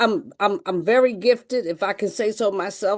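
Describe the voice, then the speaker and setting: A woman with an American accent and a fairly high pitch, moderate pace and ordinary pitch variation, over a quiet background. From Philadelphia, US. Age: 60s. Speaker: network marketer. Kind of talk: testimony. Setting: video call.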